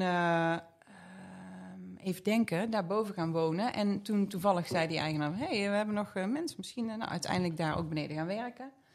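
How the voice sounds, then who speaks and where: Here a woman speaks with an ordinary speaking voice, at medium pitch and a moderate pace. Pitch variation is ordinary, and the recording is very clean with a silent background. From Geldrop, North Brabant, Netherlands. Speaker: beauty salon owner. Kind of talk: casual interview chat.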